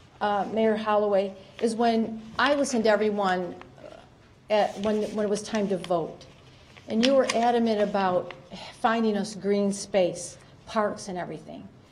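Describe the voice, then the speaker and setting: A woman talks at a moderate pace with medium pitch and fairly even intonation. Her long, frequent pauses sit in audible room echo. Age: 60s. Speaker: resident speaking at public comment. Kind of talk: public comment at council meeting. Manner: halting.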